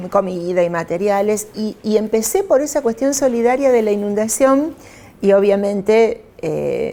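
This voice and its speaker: Speaking at a fairly slow pace with a Rosario accent, a woman uses a medium pitch and ordinary pitch variation. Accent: Rosario Argentine Spanish (rioplatense). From Argentina, Rosario. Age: 60s. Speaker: politician. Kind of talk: interview. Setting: newsroom.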